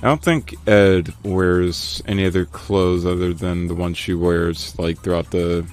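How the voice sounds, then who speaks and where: Music plays in the background as a man with an American accent speaks with hardly any pauses, his very deep, low pitch carrying fairly even intonation. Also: moderate pace. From northern US. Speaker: streamer and artist. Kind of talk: casual live stream chat while drawing. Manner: halting, many fillers and repeats.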